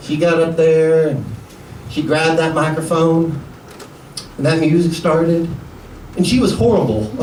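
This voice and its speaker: Noticeable background noise surrounds a man with an American accent who speaks at a moderate pace in a fairly high pitch, with very even loudness, ordinary pitch variation, and long, frequent pauses. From USA. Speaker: stand-up comedian. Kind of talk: stand-up comedy set.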